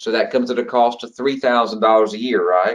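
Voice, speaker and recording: A man with a Georgia accent speaks with lively intonation. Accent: Georgia Southern. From US state of Georgia. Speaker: federal retirement trainer. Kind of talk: online training webinar. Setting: online group call. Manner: casual, conversational with fillers.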